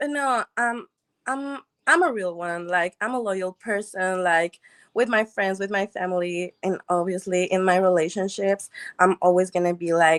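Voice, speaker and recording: Recorded very cleanly against a silent background, with a dry, close sound and no echo, a woman with a non-native accent speaks at medium pitch and a moderate pace. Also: ordinary pitch variation. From Mexico. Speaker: dating show contestant. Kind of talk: casual interview.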